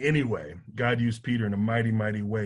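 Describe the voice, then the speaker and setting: Against a quiet background, a man talks in a somewhat breathy, medium-pitched voice. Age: 40s. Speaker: college football player development director. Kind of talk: bible study teaching.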